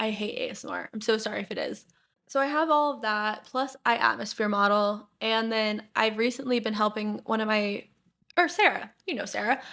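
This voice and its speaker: A woman with a fairly high, bright, sharp voice speaks at a fairly quick pace in an animated, shaky tone with ordinary pitch variation. The recording is very clean, with a silent background. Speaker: podcast host. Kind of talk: casual chat; get-ready-with-me vlog talk. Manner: shaky while blending makeup.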